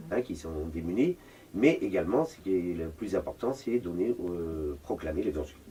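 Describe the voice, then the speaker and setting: A man talks at a moderate pace in a very deep, low voice with a dark, mellow tone, somewhat breathy, and his intonation is lively. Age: 60s. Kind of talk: interview.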